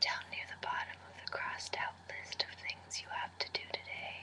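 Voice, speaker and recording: Amid noticeable background noise, a man whispers at a fairly slow pace. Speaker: Spanish major student. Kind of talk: poetry reading in a whisper. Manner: whispered, soft, relaxing.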